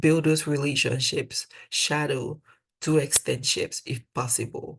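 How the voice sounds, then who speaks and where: In a Cameroonian accent, a woman with a very deep, low pitch sounds somewhat breathy against a quiet background. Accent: African (Cameroonian). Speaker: dental student, mentor. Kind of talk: webinar presentation. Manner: conversational.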